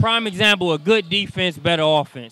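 Dry sound with no echo, a man talking at a fairly quick pace with ordinary pitch variation. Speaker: sports interviewer. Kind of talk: interview questions, casual banter. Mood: playful, joking. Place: hall. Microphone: handheld.

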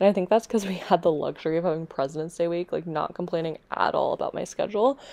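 Over noticeable background noise, a woman with a fairly low pitch talks at a very fast pace with ordinary pitch variation. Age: 20s. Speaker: teacher and fitness vlogger. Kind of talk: casual vlog. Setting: outdoors on a walk with dog.

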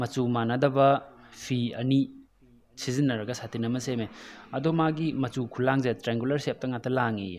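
A man's voice sits at a medium pitch, and his intonation is fairly even. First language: Meitei (Manipuri) (speaking Hindi). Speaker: math tutor. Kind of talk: lecture.

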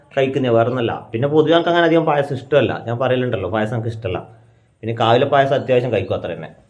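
Audible room echo surrounds a man speaking at a medium pitch with ordinary variation in pitch. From Kerala, Kannur. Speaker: family vlogger. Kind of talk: casual vlog talk to camera. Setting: at home.

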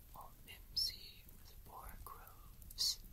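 The voice is a whisper. It moves at a very slow pace. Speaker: ASMR artist. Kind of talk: poetry reading. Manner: whispered; soft, slow.

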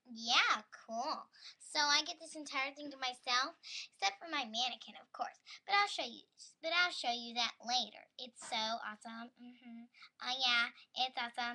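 A female-sounding, cartoonish character voice speaks at a fairly slow pace in a high pitch. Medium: puppet show. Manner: excitable, vain, whiny.

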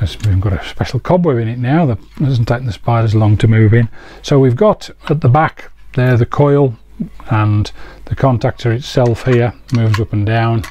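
Somewhat breathy, a man talks at a moderate pace with ordinary pitch variation over light background noise. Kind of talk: tutorial. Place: workshop.

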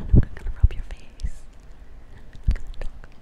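A woman whispering. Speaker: ASMR creator. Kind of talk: ASMR whisper session. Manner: whispered; soothing, soft-spoken. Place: home room. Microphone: studio mic.

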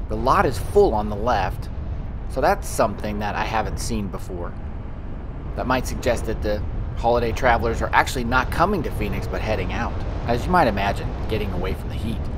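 The talking runs at a fairly quick pace, with noticeable background noise behind it. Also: man. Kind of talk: casual driving commentary. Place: car.

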